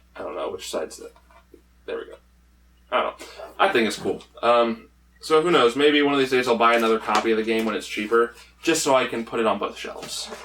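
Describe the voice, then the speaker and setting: A man talks at a very fast pace, broken by long, frequent pauses. His loudness swings widely, and there is noticeable background noise. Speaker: gaming YouTuber, game collector. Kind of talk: casual vlog, showing game pickups. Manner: animated, filler-heavy.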